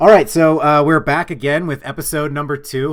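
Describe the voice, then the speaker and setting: A man mumbles at a fairly quick pace in a medium pitch, on a very clean recording with a silent background. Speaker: podcast host. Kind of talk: casual chat. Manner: mumbling.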